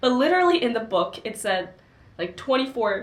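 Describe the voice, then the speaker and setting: In a Korean accent, a woman speaks at a moderate pace. Audible room echo is present. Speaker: book channel co-host. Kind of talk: casual book discussion.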